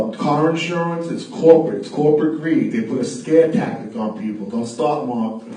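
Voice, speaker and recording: With hardly any pauses, the voice shows very wide pitch swings and big swings in loudness, amid noticeable background noise and audible room echo. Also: man, fairly high pitch for a man, moderate pace. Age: 50s. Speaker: radio show host. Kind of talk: casual chat. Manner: animated.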